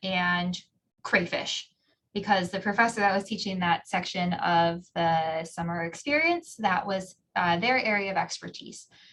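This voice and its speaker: A woman with a Minnesotan accent at a fairly slow pace. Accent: Minnesota. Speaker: geography professor. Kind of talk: interview answers.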